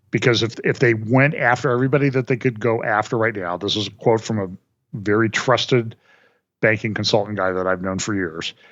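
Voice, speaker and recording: A man speaks at a fairly quick pace in a Midwestern American accent. His pitch is medium, with ordinary variation. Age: 60s. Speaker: financial commentator. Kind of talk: casual interview chat.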